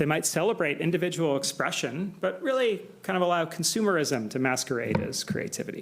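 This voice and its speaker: A man with an American accent speaks at a fairly quick pace in a high pitch, with very wide pitch swings. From United States. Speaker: political science professor. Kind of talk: academic lecture. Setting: symposium with audience.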